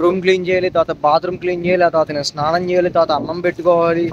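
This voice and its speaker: A high-pitched male voice amid noticeable background noise. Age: 20s. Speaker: intern. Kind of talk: casual vlog talk to camera. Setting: outdoors.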